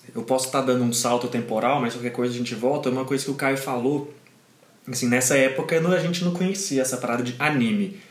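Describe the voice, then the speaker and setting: Noticeable background noise and audible room echo surround a man speaking very fast at a medium pitch with ordinary variation. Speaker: podcast co-host. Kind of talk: casual chat.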